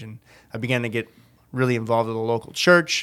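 This man has a plain, everyday voice, pitched in the middle range, and his intonation stays fairly even. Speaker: church volunteer sharing testimony. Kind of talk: testimony. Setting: studio.

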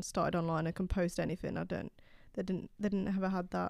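Using a normal speaking voice, the speaker keeps the intonation fairly even. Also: woman. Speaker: journalism student co-host. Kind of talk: casual discussion.

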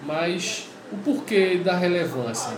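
A man's voice with fairly even intonation, audible room echo and noticeable background noise. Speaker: podcast host and pastor. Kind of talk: podcast introduction monologue. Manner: casual, halting with fillers.

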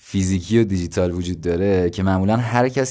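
A man speaks with a fairly low voice. His intonation is lively. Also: very clean recording, silent background. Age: 20s. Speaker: podcast host. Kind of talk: solo educational monologue. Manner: casual.

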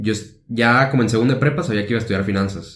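A man speaks with ordinary pitch variation amid audible room echo. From Mexico, Tepic (Nayarit). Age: 20s. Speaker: university student. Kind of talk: casual chat.

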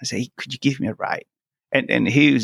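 A man speaks very fast with a Spanish accent, the sound dry and close with no echo. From Venezuela. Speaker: tech company founder. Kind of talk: personal story in interview.

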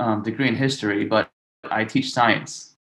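The tone is bright and sharp. The speaker has an American accent. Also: man. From New York City (Brooklyn). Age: 20s. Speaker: middle school teacher. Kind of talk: casual discussion.

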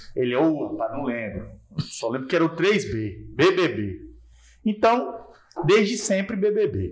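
A high-pitched man's voice at a very slow pace, with very wide pitch swings. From Porto Nacional, Tocantins, Brazil. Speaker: comedian. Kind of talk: casual chat.

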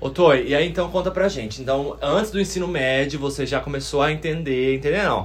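With ordinary pitch variation and a somewhat breathy voice, a man talks at a fairly quick pace. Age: 20s. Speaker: podcast co-host. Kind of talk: casual chat.

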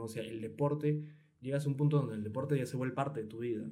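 A somewhat breathy, dark, mellow voice with fairly even intonation, in audible room echo. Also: man. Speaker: podcast host. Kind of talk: casual interview. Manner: stammering, repeats words.

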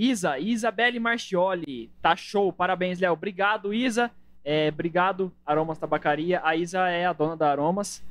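In an unremarkable speaking voice, a man talks at a moderate pace. His fairly high voice has lively intonation. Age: 20s. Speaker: podcast host. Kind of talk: casual chat.

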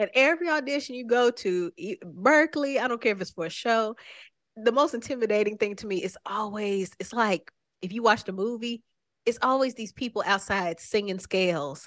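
A woman with an American accent and an unremarkable speaking voice speaks at a moderate pace and fairly high pitch, with lively intonation and big swings in loudness, in a dry, close sound with no echo against a quiet background. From Oklahoma, Tulsa. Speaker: singer-songwriter. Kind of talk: casual interview. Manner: laughs often.

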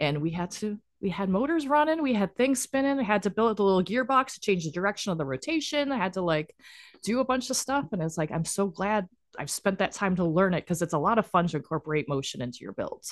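Against a quiet background, the voice moves at a very fast pace with an animated tone and very wide pitch swings. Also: woman, medium pitch for a woman. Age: 40s. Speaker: LEGO builder and business owner. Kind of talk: casual chat.

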